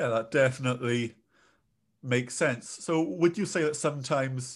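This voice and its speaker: A man talks at a moderate pace. He speaks with a British accent. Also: quiet background. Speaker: podcast host. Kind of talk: interview.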